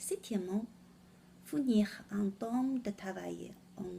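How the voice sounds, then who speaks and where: In a Chinese accent, a woman speaks at a very slow pace. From China. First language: Chinese (speaking French). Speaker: French learner presenting a word of the day. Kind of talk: vocabulary lesson. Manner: halting.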